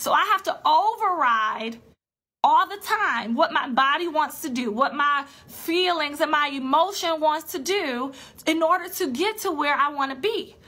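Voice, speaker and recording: The voice is raised and projected, bright and sharp in tone, with lively intonation at a moderate pace. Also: woman. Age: 20s. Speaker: personal finance coach. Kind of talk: live-stream talk to an online group. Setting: solo live video stream.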